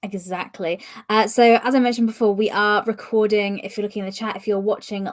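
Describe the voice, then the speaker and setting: A woman speaks with a British accent. Her pitch is fairly high and her pace fairly quick. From UK. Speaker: podcast host. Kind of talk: interview. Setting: live stream.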